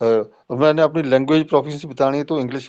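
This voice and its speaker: A man with a Punjabi accent and fairly high pitch over a quiet background. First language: Punjabi (speaking Hindi). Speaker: professor. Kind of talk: lecture. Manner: halting.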